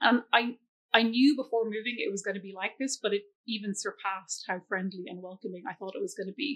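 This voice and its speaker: A woman with an Irish accent talks at a very fast pace in a fairly high pitch. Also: ordinary pitch variation. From Ireland. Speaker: school scholarship coordinator. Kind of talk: interview.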